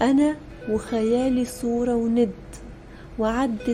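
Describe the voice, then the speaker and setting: A woman speaks with an Egyptian accent at a very slow pace. Her pitch is fairly high, and music plays in the background. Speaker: poet. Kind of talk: poetry reading.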